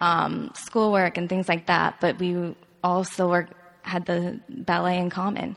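A woman's ordinary speaking voice with an American accent at a fairly slow pace. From US South, South Carolina. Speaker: ballet dancer. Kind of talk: interview.

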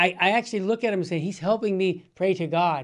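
A high-pitched man with an American accent, ordinary pitch variation and a quiet background. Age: 60s. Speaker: radio host. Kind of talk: casual chat. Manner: animated.

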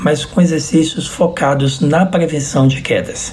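Through noticeable background noise and audible room echo, a man talks at a very slow pace. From Bahia, Brazil (Salvador). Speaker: physician. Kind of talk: interview.

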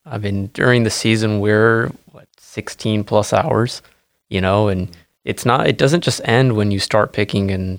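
In an ordinary speaking voice, a man with a fairly low pitch talks with ordinary pitch variation, recorded very clean with a silent background and a dry, close sound with no echo. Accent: American. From Washington State, US Pacific Northwest. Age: 30s. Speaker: berry farmer. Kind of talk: casual interview.

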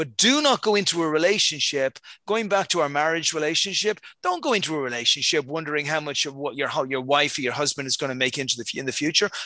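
Talking at a fairly quick pace in a Dublin accent, a man with a fairly high pitch has a bright, sharp tone and ordinary pitch variation. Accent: Irish (Dublin). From Dublin, Ireland. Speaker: accelerator founder. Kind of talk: casual interview.

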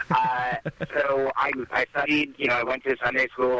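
A man with an American accent speaks at a moderate pace in a monotone, flat intonation, the sound dry and close with no echo over noticeable background noise. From US Northeast, New Jersey. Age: 30s. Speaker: comedian. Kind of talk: casual chat.

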